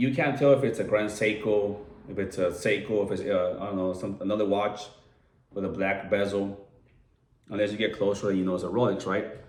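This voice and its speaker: Speaking quite quickly with an American accent, a man keeps a fairly low pitch and fairly even intonation amid audible room echo. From Southern California (San Diego). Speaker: watch enthusiast vlogger. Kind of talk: casual video review. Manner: casual, filler-heavy.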